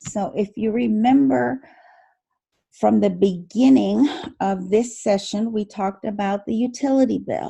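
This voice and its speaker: Speaking at a fairly slow pace, a woman with a dark, mellow, somewhat breathy voice of medium pitch uses lively intonation. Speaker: accounting instructor. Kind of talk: lecture.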